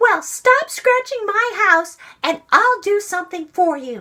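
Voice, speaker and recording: A woman's put-on character voice, squeaky and extremely high, fairly slow, with very wide pitch swings. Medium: read story. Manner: brisk, indignant.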